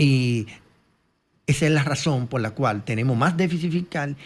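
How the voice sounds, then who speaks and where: A man speaks in a plain, everyday voice at a fairly high pitch. The pace is moderate, and the recording is very clean with a silent background. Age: 60s. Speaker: economist. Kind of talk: interview.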